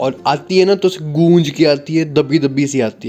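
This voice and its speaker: A man's speech has ordinary pitch variation. There is music in the background. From Himachal Pradesh, India. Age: 20s. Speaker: vlogger. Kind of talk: casual talk to camera.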